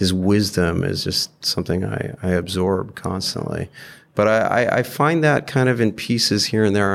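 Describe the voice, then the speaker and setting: Recorded very cleanly against a silent background, a man with an American accent has an ordinary speaking voice, fairly low in pitch with ordinary variation. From UK, Saudi Arabia and US. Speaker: investor. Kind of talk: casual interview.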